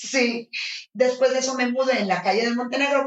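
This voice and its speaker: A woman talks at a fairly quick pace in a fairly high voice. Her tone is animated. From northern Mexico, Los Mochis. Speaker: flamenco dance teacher. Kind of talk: interview conversation.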